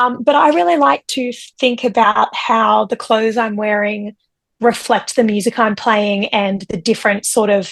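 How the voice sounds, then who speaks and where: Pitched fairly high, a woman talks with an Australian accent. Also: ordinary pitch variation, moderate pace. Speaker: singer-songwriter. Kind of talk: interview. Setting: video call.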